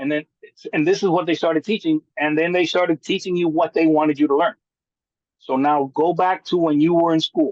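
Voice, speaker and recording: A man's fairly quick, high-pitched voice at very even loudness, with a dry, close sound and no echo. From Cuban American, Miami. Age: 60s. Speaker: handyman business owner and contractor. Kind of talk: podcast interview. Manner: animated.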